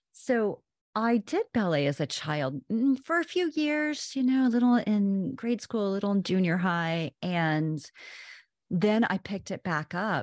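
In an American accent, a woman speaks at a fairly slow pace and medium pitch with very wide pitch swings, recorded very cleanly against a silent background with a dry, close sound and no echo. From Oklahoma. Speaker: author and wellness teacher. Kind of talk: interview conversation. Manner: animated.

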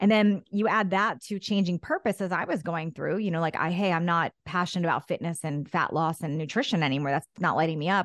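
Recorded dry and close with no echo against a quiet background, a woman with a fairly low pitch talks at a fairly quick pace in an energetic tone with ordinary pitch variation. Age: 50s. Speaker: former fitness influencer, podcaster. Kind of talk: interview.

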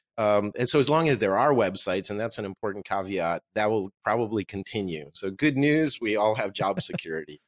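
With an American accent, a man with a fairly low voice talks fairly quickly and lively, barely pausing, in a dry, close recording with no echo that is very clean over a silent background. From Russia, raised in US. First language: Russian. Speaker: conversion optimization expert and author. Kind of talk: interview conversation.

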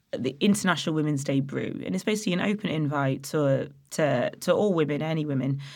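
The speaker has a slight East Midlands accent and talks at a very fast pace. The recording is very clean, with a silent background. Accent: Nottingham East Midlands English, slight. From Nottingham, England. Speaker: head brewer and author. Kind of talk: casual interview chat.

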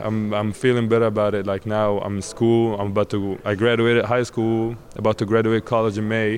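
With an Arabic accent, a man speaks at a moderate pace and a fairly low pitch. His intonation is fairly even, and there is noticeable background noise. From Egypt. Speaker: college basketball player. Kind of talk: interview. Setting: media days event.

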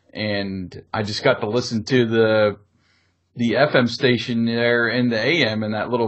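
In a plain, everyday voice, a man talks at a fairly slow pace and medium pitch. His pitch varies in an ordinary way, over a quiet background. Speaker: podcast host and former radio DJ. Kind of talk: casual nostalgic podcast chat with friendly DJ-style host patter. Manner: warm, easygoing, conversational.

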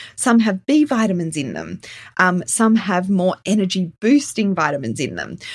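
Somewhat breathy and at a medium pitch, a woman speaks at a moderate pace with very wide pitch swings. The recording is very clean, the background silent. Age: 40s. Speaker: children's health practitioner and podcast host. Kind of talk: solo educational podcast.

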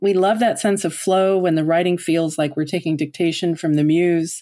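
Over a very clean recording with a silent background, a woman talks at a moderate pace in a dark, mellow tone, her fairly low pitch moving with ordinary variation. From Newfoundland, Canada. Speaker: podcast host and writing coach. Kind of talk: scripted podcast monologue.

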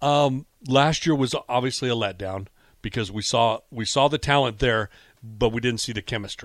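In a very clean recording with a silent background, a man with a normal speaking voice and an American accent talks at a moderate pace and medium pitch, with ordinary pitch variation. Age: 40s. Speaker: fan group founder. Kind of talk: sports radio interview. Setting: radio studio.

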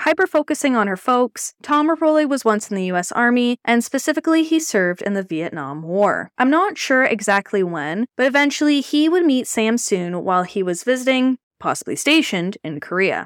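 The voice moves at a fairly quick pace with hardly any pauses, swinging very widely in pitch, recorded dry and close with no echo. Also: woman, high pitch for a woman. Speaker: podcast host. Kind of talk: true-crime narration. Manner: measured, even storytelling pace; serious, somber tone.

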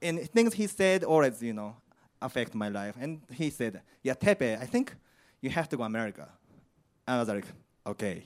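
On a very clean recording with a silent background, a man with a Japanese accent talks at medium pitch and a moderate pace, his pitch swinging very widely between long, frequent pauses. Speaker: particle physicist. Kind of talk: live storytelling. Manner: halting.

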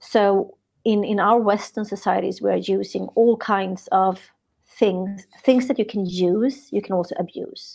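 Vocal fry marks a woman's medium-pitched voice as she talks at a fairly slow pace with fairly even intonation on a very clean recording with a silent background. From Sweden. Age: 50s. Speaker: spiritual teacher. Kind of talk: interview.

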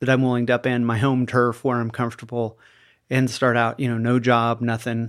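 Flat, monotone delivery at a fairly quick pace on a very clean recording with a silent background. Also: man, medium pitch for a man. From US Midwest, small-town Iowa. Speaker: mental health facility owner. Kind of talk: casual interview.

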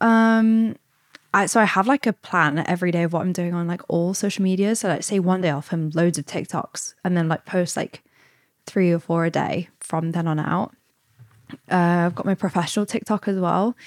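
Recorded very cleanly with a silent background, a woman with an East Midlands accent speaks at a fairly low pitch with ordinary pitch variation. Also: moderate pace, dry, close sound with no echo. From England, Derbyshire (East Midlands). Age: 20s. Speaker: content creator. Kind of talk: interview.

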